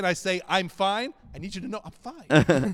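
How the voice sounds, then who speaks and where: A man's high voice with an American accent, ordinary pitch variation, and noticeable background noise. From Boston area, New England. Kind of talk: casual chat.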